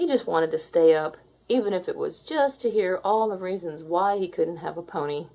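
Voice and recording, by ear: A natural voice, reading aloud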